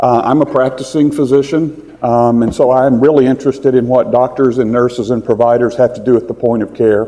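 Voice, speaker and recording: A man with a Texas accent and fairly even intonation, over noticeable background noise. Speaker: physician and health tech founder. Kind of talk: conference presentation. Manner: fast.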